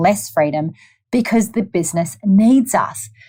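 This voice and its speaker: Speaking in a New Zealand accent, a woman uses lively intonation at a medium pitch and a fairly slow pace. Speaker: podcast host, lawyer and entrepreneur. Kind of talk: solo podcast monologue. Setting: at her office desk. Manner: upbeat, enthusiastic.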